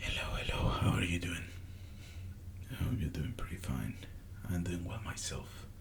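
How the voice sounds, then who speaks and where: Long, frequent pauses run through the speech, with noticeable background noise. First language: Spanish. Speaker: ASMR creator. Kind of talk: soft-spoken ASMR story time talking to camera. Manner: soft-spoken, slow, hesitant.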